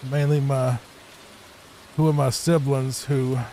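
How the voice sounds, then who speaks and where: The voice is soft-spoken, with a Virginia accent. Its intonation is monotone and flat. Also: man. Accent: noticeable Southern (Virginia). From Virginia, US. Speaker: gaming streamer. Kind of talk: casual gameplay commentary. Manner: laid back, soft-spoken; calm, relaxing.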